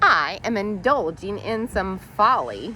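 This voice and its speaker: A female-sounding voice does a put-on character at medium pitch and a fairly slow pace. Background noise is clearly audible. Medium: read story.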